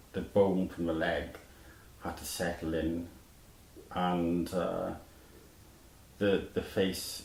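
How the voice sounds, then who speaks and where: In a Welsh accent, a man speaks very slowly with a very deep, low voice and a flat, monotone delivery. He leaves long, frequent pauses, and audible room echo surrounds him. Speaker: musician, surgery survivor. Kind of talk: interview. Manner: halting, with false starts.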